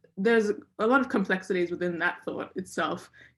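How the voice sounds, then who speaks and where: In an Australian accent, a woman speaks at a fairly quick pace and a medium pitch with fairly even intonation, on a very clean recording with a silent background. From Australia (Brisbane), born in Egypt. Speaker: author. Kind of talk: author talk. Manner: hesitant, many fillers and repeats.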